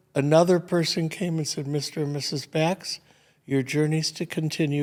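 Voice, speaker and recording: A man with an American accent talks at a moderate pace in a fairly high pitch. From Michigan, Detroit. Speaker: retired restaurateur. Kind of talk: casual interview conversation. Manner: animated.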